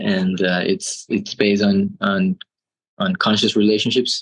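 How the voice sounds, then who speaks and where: With a Spanish accent, a man speaks at a fairly low pitch and a fairly slow pace in a monotone, flat intonation. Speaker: transpersonal therapist. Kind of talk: casual interview conversation.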